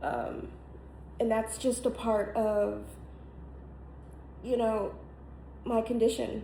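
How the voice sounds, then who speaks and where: An American accent with long, frequent pauses and audible room echo. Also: woman. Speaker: content creator. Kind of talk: casual vlog monologue. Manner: halting, many fillers.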